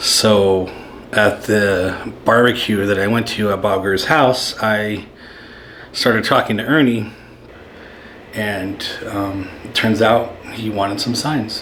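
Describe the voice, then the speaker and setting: A man with a fairly low pitch talks at a very slow pace with long, frequent pauses and fairly even intonation. Noticeable background noise and audible room echo fill the recording. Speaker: maker and YouTuber. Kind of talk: casual vlog talk.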